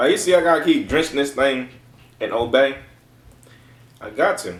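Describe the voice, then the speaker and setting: A man with an American accent, animated in tone, at a moderate pace with lively intonation, in a room with audible echo. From Baltimore, Maryland, US. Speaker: food reviewer, YouTuber. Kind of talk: casual food review vlog. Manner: animated, repetitive. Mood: playful, joking. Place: home room. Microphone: camera far.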